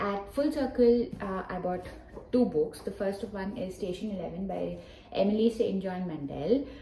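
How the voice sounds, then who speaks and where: Against noticeable background noise and audible room echo, a woman with a Telugu accent speaks at a moderate pace. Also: medium pitch for a woman, ordinary pitch variation. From Hyderabad, southern India. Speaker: book vlogger. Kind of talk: casual vlog talk to camera. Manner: casual, with frequent fillers.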